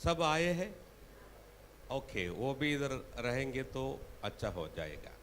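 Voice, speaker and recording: Speaking with a Tamil accent, a man leaves long, frequent pauses, and audible room echo is present. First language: Tamil (speaking Hindi). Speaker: preacher. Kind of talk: sermon. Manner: halting.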